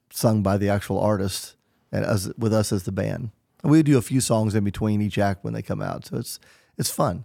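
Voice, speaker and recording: Fairly low in pitch, a man talks at a fairly quick pace in an unremarkable speaking voice. The recording is very clean, with a silent background and a dry, close sound without echo. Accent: American. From Southern Illinois. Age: 50s. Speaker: touring musician. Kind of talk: interview.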